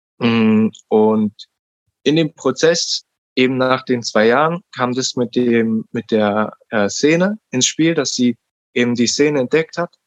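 Very slowly, a man speaks with ordinary pitch variation in a dry, close sound with no echo. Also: medium pitch for a man. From Berlin, Germany. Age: 20s. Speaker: podcast guest, self-directed learner. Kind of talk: interview, personal story. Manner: halting, many fillers.

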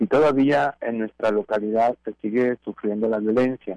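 A normal speaking voice, dry and close with no echo, fairly even in intonation at a moderate pace. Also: man. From Mexico, La Laguna region (Torreón). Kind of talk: radio interview.

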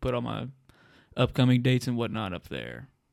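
A man's medium-pitched voice comes through in a very clean recording with a silent background. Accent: Southern US. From northern Alabama (New Market). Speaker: stand-up comedian. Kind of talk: casual chat.

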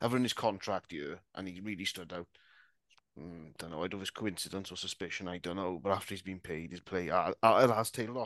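Speaking with a Welsh accent, a man uses a very deep, low voice at a fairly quick pace, with ordinary pitch variation and big swings in loudness. The background is quiet. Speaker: podcast guest, Dolphins fan. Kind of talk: casual chat.

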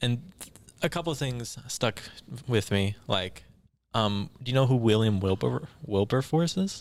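A man with an unremarkable speaking voice, medium pitch, lively intonation and a fairly slow pace. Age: 20s. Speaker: psychology student. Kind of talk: casual chat.

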